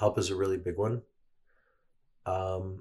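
A man's somewhat breathy voice carries a very deep, low pitch. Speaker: guest sharing personal experience. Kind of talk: casual interview chat. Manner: verbose, talkative.

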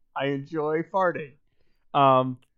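The speaker talks at a fairly slow pace. The background is quiet. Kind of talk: casual chat. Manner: animated.

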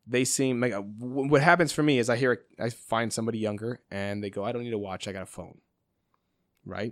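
A man with an American accent in a normal speaking voice, medium pitch, ordinary pitch variation and a fairly quick pace, on a very clean recording with a silent background. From US Midwest, Chicago suburbs. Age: 40s. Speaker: watch company founder. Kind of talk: casual chat.

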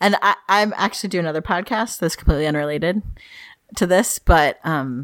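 A woman speaks at a fairly quick pace with a fairly bright tone. Her pitch is fairly low, with ordinary pitch variation.

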